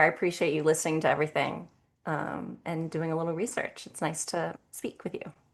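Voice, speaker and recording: Fairly low in pitch, a woman speaks with an ordinary speaking voice at a fairly quick pace. The background is quiet. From US South, Nashville, Tennessee. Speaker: singer-songwriter. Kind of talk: casual interview.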